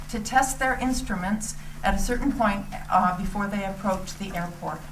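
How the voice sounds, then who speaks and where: Over noticeable background noise with audible room echo, a woman speaks at a medium pitch with ordinary pitch variation. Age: 60s. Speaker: resident speaking at town meeting. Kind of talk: public comment. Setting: town board meeting. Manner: halting.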